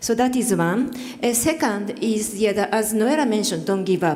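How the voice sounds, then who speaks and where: In a Japanese accent, a woman speaks at a fairly high pitch, with audible room echo and noticeable background noise. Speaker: panelist, development cooperation worker. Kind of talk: panel discussion remarks. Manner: halting, many fillers.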